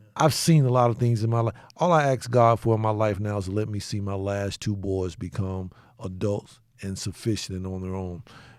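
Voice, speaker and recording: In a very clean recording with a silent background, a man with an ordinary speaking voice and an American accent talks at a fairly quick pace with ordinary pitch variation. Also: fairly low pitch for a man. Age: 50s. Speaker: sheriff and show host. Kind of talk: casual chat.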